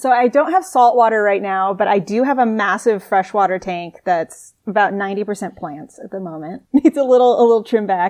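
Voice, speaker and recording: Fairly quick and with hardly any pauses, a woman speaks at a medium pitch with ordinary pitch variation and big swings in loudness. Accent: American. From US Southwest, Albuquerque, New Mexico. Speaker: marine biologist. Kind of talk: podcast interview. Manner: casual, conversational.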